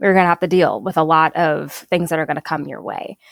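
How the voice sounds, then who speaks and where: A woman speaks with an American accent in an unremarkable speaking voice, fairly low in pitch and at a moderate pace. The sound is dry and close, with no echo. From Minnesota, Saint Paul. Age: young. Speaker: environmental justice advocate. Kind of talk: interview conversation.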